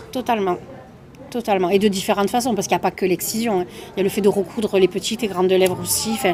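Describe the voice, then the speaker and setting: A woman speaks very fast in a medium pitch with fairly even intonation. Background noise is noticeable. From southern France, Toulouse. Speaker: comedian. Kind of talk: interview.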